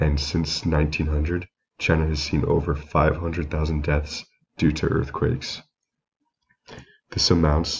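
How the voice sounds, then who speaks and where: Somewhat breathy, a man speaks at a very deep, low pitch in a monotone, flat intonation. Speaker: student giving a class presentation. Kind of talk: recorded class presentation. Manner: reading from prepared slides.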